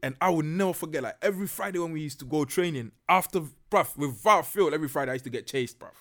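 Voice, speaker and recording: Speaking very fast with a Ghanaian accent, a man uses a fairly high pitch with ordinary variation and big swings in loudness, on a very clean recording with a silent background. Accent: Ghanaian, largely unchanged. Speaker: podcaster. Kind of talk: casual chat.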